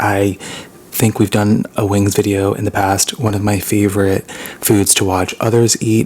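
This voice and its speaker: A man's fairly low, monotone, flat delivery at a fairly slow pace, with noticeable background noise. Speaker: ASMR mukbang YouTuber. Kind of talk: casual talk to camera.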